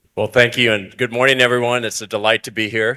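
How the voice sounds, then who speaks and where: In an American accent, a man talks at a fairly quick pace with a bright, sharp tone and a medium pitch, captured dry and close with no echo on a very clean recording with a silent background. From United States. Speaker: conservation executive, panelist. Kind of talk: panel discussion.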